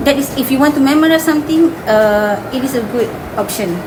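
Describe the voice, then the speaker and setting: This woman speaks in a Malaysian accent with a high pitch and lively intonation. Audible room echo and noticeable background noise come through. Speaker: primary school English teacher. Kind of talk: interview.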